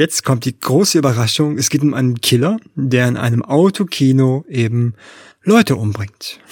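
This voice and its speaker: A man's plain, everyday voice at medium pitch, lively in intonation, at a moderate pace, with a dry, close sound and no echo. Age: 40s. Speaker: film podcast co-host. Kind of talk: casual chat.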